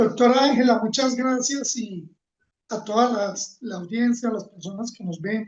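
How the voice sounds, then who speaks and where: With a Colombian accent, a man speaks in an extremely high pitch at a fairly slow pace, his intonation fairly even and his loudness swinging widely. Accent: Manizales accent, kept. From Colombia, Manizales (paisa region). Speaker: environmental leader and engineer. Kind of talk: interview.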